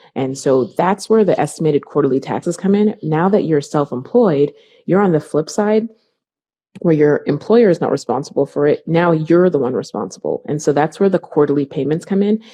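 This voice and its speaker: A woman speaks at a fairly quick pace with a very deep, low pitch. Her intonation is lively. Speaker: accountant and business owner. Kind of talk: interview. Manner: fast.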